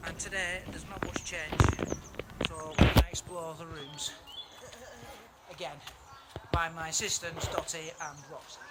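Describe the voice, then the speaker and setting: Noticeable background noise surrounds this man. He speaks at a fairly slow pace. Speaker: amateur video host. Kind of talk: casual vlog presenting. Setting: outdoors at castle ruins. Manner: halting, stammering.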